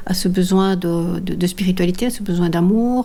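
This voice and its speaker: With a medium pitch and a dark, mellow tone, a woman speaks in a somewhat breathy way. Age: 60s. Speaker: long-distance walker and author. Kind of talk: personal testimony. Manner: halting, many hesitations.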